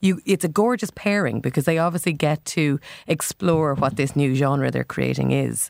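A woman with an Irish accent speaks at a very deep, low pitch with vocal fry and very even loudness. The sound is dry and close, with no echo. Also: ordinary pitch variation, moderate pace, very clean recording, silent background. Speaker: music critic. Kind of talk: album review discussion.

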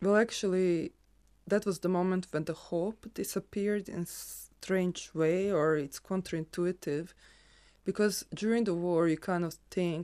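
On a very clean recording with a silent background, a woman speaks with a Croatian accent at a fairly slow pace. Her voice is fairly low with a dark, mellow tone and fairly even intonation. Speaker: photographer. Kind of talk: casual conversation.

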